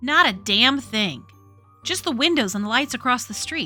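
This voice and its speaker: Using a put-on character voice, a woman speaks at a high pitch in a raised, projected, gruff tone with lively intonation. Her pace is moderate, and faint music plays in the background. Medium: read story. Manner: gruff, grunting.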